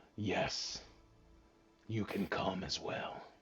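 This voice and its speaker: A man uses a put-on character voice. It sounds raspy and sits fairly low in pitch. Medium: actual play. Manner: arrogant, amused.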